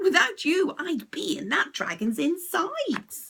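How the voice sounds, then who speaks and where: A woman's squeaky put-on character voice, extremely high-pitched, at a fairly slow pace. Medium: read story.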